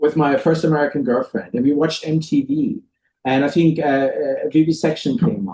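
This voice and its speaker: Speaking at a fairly quick pace, a man with a German accent has a fairly high, somewhat breathy voice, a dark and mellow tone, and ordinary pitch variation. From Germany. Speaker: record label owner and musician. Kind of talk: interview chat. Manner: halting, many restarts.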